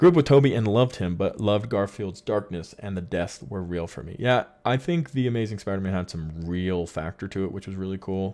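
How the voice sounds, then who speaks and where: In a very clean recording with a silent background, a man with a fairly low, dark, mellow voice talks at a fairly quick pace with hardly any pauses, ordinary pitch variation and big swings in loudness. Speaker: live stream host. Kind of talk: casual chat. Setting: live stream.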